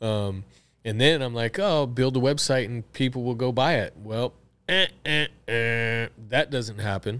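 At a fairly slow pace, a man talks with medium pitch and ordinary pitch variation. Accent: American. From Tucson, Arizona. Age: 40s. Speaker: podcast host, business owner. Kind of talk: casual chat, personal storytelling. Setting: office studio.

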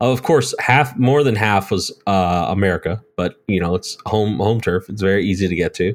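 A man with a plain, everyday voice speaks at a fairly low pitch. He keeps a moderate pace with hardly any pauses. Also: ordinary pitch variation. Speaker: podcast host. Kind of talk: casual chat.

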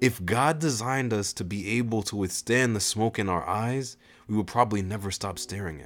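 On a very clean recording with a silent background, a man with a fairly low pitch talks at a fairly quick pace in an animated tone, with big swings in loudness and ordinary pitch variation. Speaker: podcast host. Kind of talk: casual monologue.

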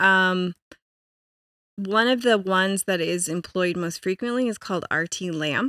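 In a very clean recording with a silent background and a dry, close sound without echo, a woman with an American accent speaks at a fairly slow pace, her medium-pitched voice bright and sharp in tone, with ordinary pitch variation. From Colorado. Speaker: biotech CEO and molecular biologist. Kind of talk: interview.

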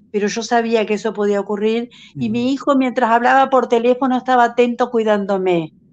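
Her voice sits at a fairly high pitch, with ordinary pitch variation. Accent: Rioplatense. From Uruguay. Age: 70s. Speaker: caller. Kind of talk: testimony.

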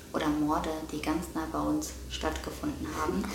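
A woman's moderate-paced speech comes through audible room echo and noticeable background noise. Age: 20s. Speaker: podcast co-host. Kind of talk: casual chat. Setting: holiday apartment. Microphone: poor audio quality, noisy microphone.

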